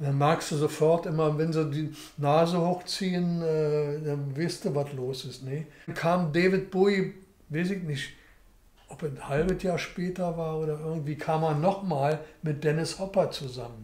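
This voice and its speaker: Audible room echo follows a voice with fairly even intonation at a fairly slow pace. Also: man, fairly high pitch for a man. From Berlin. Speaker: documentary interviewee. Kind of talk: interview answer. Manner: casual, chatty. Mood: relaxed, anecdotal storytelling. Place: home room.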